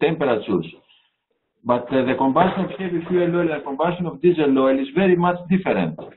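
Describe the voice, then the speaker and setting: Noticeable background noise sits behind a man talking at a very fast pace. His pitch variation is ordinary. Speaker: marine engineer; presenter. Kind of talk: audience question. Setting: video call. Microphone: video call.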